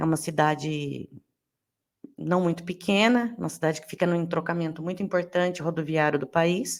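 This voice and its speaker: On a very clean recording with a silent background, a woman with a fairly low pitch speaks at a moderate pace with fairly even intonation. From Brazil, interior of São Paulo state (Rio Claro). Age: 30s. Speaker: podcast host. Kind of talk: podcast monologue, casual.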